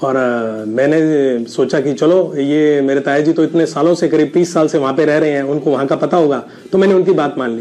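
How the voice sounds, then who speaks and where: The man talks at moderate speed, his pitch fairly high and its variation ordinary. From India, Rajasthan (Sri Ganganagar). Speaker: network marketing business owner, ex pharma rep. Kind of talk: personal success story testimony. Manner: hesitant with frequent filler sounds.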